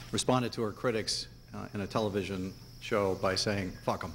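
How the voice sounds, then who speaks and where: Over light background noise, a man speaks at a moderate pace. His fairly low voice keeps a fairly even intonation. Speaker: attorney arguing a case. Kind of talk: courtroom oral argument. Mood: formal, measured. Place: hall. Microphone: podium.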